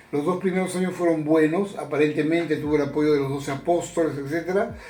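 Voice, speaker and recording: There is audible room echo here, along with noticeable background noise. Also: man. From Peru, Chiclayo. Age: 70s. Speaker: retired journalist. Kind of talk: interview. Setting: at home.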